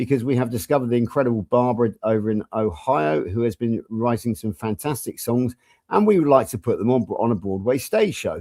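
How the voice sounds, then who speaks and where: Speaking at a fairly quick pace with hardly any pauses, a man with an English accent has a dark, mellow tone at medium pitch and ordinary pitch variation, captured in a very clean recording with a silent background and a dry, close sound with no echo. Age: 60s. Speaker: health coach. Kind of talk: casual chat.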